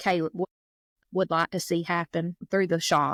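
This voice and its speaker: Woman with a South Georgia accent, fairly low-pitched and monotone with flat intonation, at a moderate pace, with a dry, close sound with no echo on a very clean recording with a silent background. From South Georgia, US (Baxley). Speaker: foster and adoptive mother, coffee shop owner. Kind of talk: casual interview chat.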